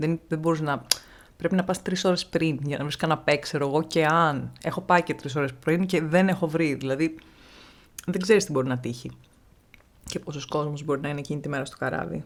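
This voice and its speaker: Fairly even intonation in a very deep, low female voice. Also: moderate pace. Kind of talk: casual talk to camera.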